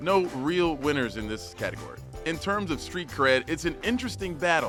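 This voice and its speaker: With music playing behind him, a man speaks at a moderate pace. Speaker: news reporter. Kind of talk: news explainer narration.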